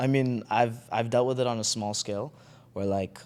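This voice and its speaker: The man has an ordinary speaking voice and moves at a fairly quick pace. The recording is very clean, with a silent background. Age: 20s. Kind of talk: podcast interview. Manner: conversational with fillers.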